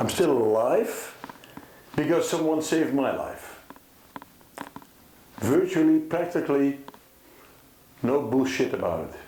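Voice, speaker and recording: A man at a fairly slow pace with long, frequent pauses, audible room echo and noticeable background noise. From Netherlands. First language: Dutch. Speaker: concerned father. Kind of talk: personal testimony to camera. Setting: filmed with two cameras. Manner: halting.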